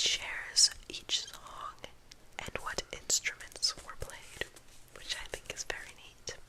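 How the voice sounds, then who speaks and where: A very slow whisper amid noticeable background noise. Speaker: ASMR creator. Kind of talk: ASMR whispered talk about a record collection. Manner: close, whispered, soft-spoken.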